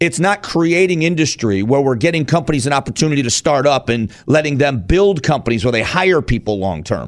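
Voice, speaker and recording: Here a man with an American accent and an unremarkable speaking voice talks fairly quickly at a fairly high pitch. He hardly pauses, and his loudness stays very even. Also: lively intonation. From Arizona. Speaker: radio talk show host. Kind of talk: political talk radio discussion.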